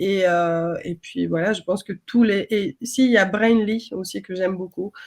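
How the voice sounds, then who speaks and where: Pitch varies in a normal way while the words come out very slowly. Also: woman. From outside France. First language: not French (speaking French). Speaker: design system trainer. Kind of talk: webinar panel discussion.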